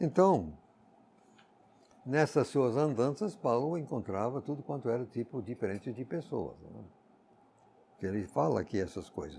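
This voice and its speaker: With vocal fry and a dark, mellow tone, a man of medium pitch speaks at a fairly slow pace, with very wide pitch swings and long, frequent pauses, on a very clean recording with a silent background. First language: English (speaking Portuguese). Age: 80s+. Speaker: Bible teacher. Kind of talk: Bible exposition.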